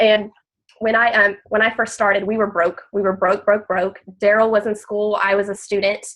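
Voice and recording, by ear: A woman with a nasal, fairly bright tone talks at a moderate pace in a medium pitch, with little pitch movement.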